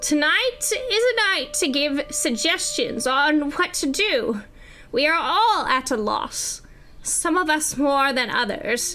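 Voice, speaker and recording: There is clear background noise as a woman does a raspy, put-on character voice. Her pitch is high and her pace fairly slow. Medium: actual play.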